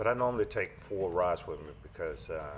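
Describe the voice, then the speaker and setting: Audible room echo surrounds this man's voice. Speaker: fishing vlogger. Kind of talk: tutorial. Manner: halting, many fillers; mumbling at times.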